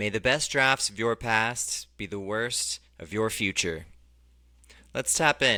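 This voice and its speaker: A bright, sharp voice speaks very slowly in an American accent. The recording is very clean, with a silent background. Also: man, medium pitch for a man, ordinary pitch variation. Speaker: fantasy football podcast host. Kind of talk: casual podcast monologue. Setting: drinking beer while recording alone.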